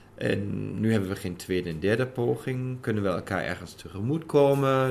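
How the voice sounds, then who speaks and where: A man speaks at a medium pitch with a German accent. His intonation is lively. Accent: German accent in Dutch. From Germany. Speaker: intended father. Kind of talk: interview.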